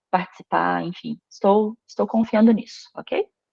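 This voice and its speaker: A woman's plain, everyday voice, medium in pitch, at a moderate pace. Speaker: paleography instructor. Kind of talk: online lecture.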